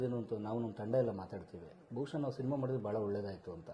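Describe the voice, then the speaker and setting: Light background noise sits behind a man speaking with lively intonation. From Bengaluru, Karnataka, India. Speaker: theatre artist and director; interview guest. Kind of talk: interview. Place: studio. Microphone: lapel.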